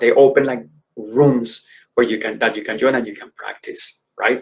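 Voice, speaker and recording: A man speaks in a Spanish accent at a medium pitch. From Colombia. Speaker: educator and career speaker. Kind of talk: conference presentation. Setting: virtual conference.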